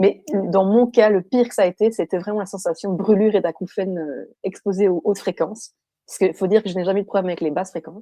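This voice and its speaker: Speaking at a very fast pace, a woman has a dark, mellow tone and fairly even intonation, recorded with a dry, close sound and no echo. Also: medium pitch for a woman. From Belgium. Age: 20s. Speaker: person with electrohypersensitivity. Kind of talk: testimony interview. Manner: hesitant, many fillers.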